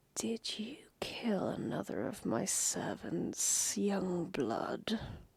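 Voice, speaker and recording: Whispering in a put-on character voice, the speaker goes at a very slow pace. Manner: whispering, menacing.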